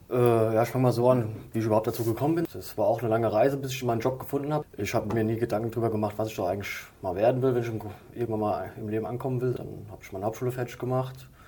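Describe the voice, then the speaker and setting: The speech runs at a very fast pace with fairly even intonation over noticeable background noise. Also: man, medium pitch for a man. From Hesse, Limburg-Weilburg area. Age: 30s. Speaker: animal caretaker. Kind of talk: interview.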